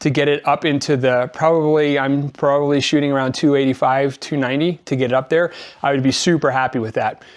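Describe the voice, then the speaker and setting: Fairly high in pitch, a man with an American accent uses a normal speaking voice with fairly even intonation. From Colorado. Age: 50s. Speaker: mountain biker. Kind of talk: casual talk to camera.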